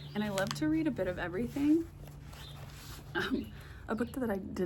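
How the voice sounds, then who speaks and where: A quiet woman's voice comes at a moderate pace with audible room echo. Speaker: book vlogger. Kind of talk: casual vlog chat. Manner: quiet, low volume.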